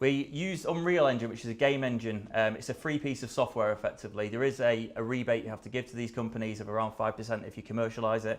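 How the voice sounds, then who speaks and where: A man with a British accent speaks very fast at a medium pitch, with ordinary pitch variation. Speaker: tech company speaker at industry seminar. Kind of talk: conference presentation.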